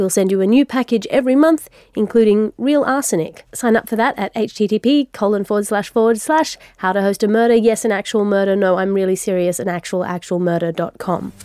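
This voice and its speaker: Heard dry and close with no echo, a woman with an ordinary speaking voice talks at a fairly quick pace with hardly any pauses, a medium pitch and ordinary pitch variation. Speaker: podcast host. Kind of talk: comedic scripted satirical news show with mock ads and letters.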